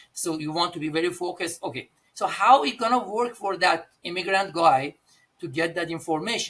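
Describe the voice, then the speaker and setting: A man speaks at a fairly quick pace with an Iranian accent, his pitch high for a man. His tone is bright and sharp, with ordinary pitch variation. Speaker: pharmacist and pharmacy owner. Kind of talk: podcast interview. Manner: halting.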